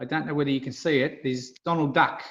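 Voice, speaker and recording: With an Australian accent, a man speaks at a fairly high pitch using fairly even intonation. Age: 60s. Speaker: retired amusement game industry worker. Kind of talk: casual interview chat. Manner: hesitant, many fillers.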